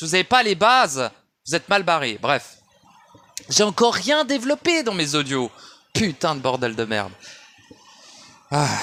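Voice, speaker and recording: A man speaks at a fairly slow pace, his voice pitched high. His pitch swings very widely, broken by long, frequent pauses. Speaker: esoteric audio commentator. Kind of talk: monologue rant. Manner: shouting; halting.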